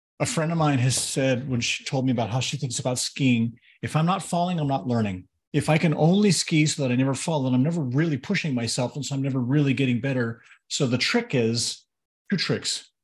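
A man speaks fairly quickly in a somewhat breathy voice, with ordinary pitch variation. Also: medium pitch for a man. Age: 50s. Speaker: podcast co-host. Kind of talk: casual chat.

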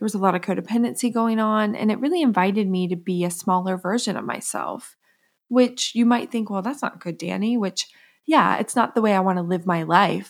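A plain, everyday voice at a fairly quick pace on a very clean recording with a silent background. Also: woman, medium pitch for a woman, ordinary pitch variation. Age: 30s. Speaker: podcast host and psychotherapist. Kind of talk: solo podcast monologue.

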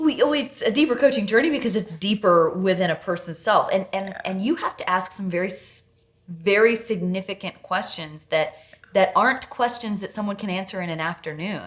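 A woman with an unremarkable speaking voice, medium pitch, lively intonation and a moderate pace. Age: 30s. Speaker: podcast host. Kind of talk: casual chat.

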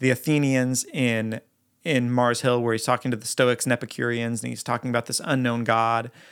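A man with a normal speaking voice talks at a moderate pace and medium pitch in a very clean recording with a silent background. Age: 30s. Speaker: worship leader and songwriter hosting a podcast. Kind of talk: teaching monologue.

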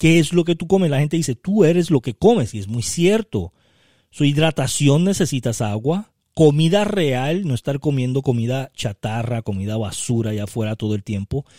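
Recorded very cleanly with a silent background and a dry, close sound with no echo, a man speaks at a moderate pace in a dark, mellow tone, his fairly high pitch moving in very wide swings. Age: 50s. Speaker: podcast host, network marketing mentor. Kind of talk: motivational solo podcast talk.

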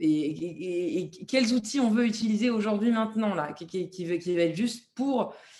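Fairly high in pitch, a woman talks at a fairly slow pace with lively intonation. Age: 30s. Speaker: singer-songwriter. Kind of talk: casual interview. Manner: hesitant, many repeated words.

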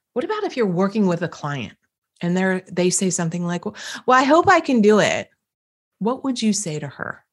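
A woman's animated, upbeat voice with very wide pitch swings and a slight East Coast US accent. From US East Coast. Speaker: podcast host, business and personal growth coach. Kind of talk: solo motivational talk. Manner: animated, upbeat, conversational.

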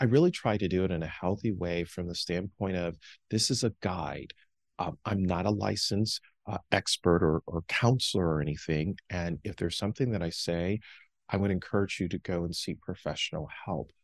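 Very deep and low in pitch, a man talks at a moderate pace with ordinary pitch variation, recorded dry and close with no echo against a quiet background. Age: 50s. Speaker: author and speaker. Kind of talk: interview.

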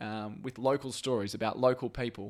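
Recorded very cleanly against a silent background, a man with an Australian accent speaks at a medium pitch with ordinary pitch variation. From Brisbane, Australia. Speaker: podcast host, former TV journalist. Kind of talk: casual chat. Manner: halting, repeats words.

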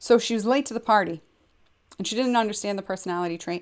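A woman talks with ordinary pitch variation. The recording is very clean, with a silent background. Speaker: podcast host and counselor. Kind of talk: solo educational talk. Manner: fast; halting, many fillers and repetitions.

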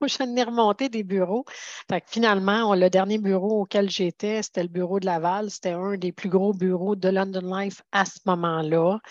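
This woman's voice sits at a medium pitch, her intonation fairly even. The audio is dry and close, free of echo. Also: moderate pace, quiet background. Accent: Quebec. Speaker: financial security advisor. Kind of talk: interview.

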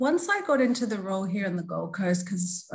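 A fairly quick, somewhat breathy woman's voice with an Australian accent. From Australia, Melbourne. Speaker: diversity and inclusion specialist. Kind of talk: interview conversation.

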